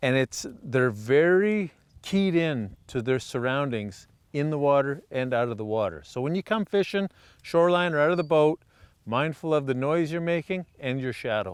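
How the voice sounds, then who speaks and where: A man's fairly high-pitched, plain, everyday voice, moderate in pace, with lively intonation. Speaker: fishing show host. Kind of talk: outdoor show commentary.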